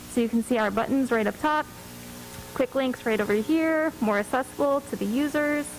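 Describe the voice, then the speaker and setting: A woman with a high pitch talks at a fairly quick pace while music plays in the background. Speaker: librarian. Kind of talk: presentation. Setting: council meeting. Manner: loud; animated.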